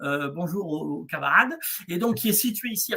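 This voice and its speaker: A man's raised, projected voice with lively intonation. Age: 60s. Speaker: eco-hamlet founder and therapist. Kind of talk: interview on a livestream. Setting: video livestream. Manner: halting, many fillers.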